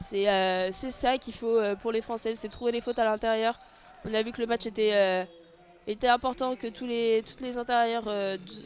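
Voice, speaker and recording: This woman has a fairly high pitch and fairly even intonation. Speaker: audio-description sports commentator. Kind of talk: live commentary. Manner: fast; hesitant, many fillers.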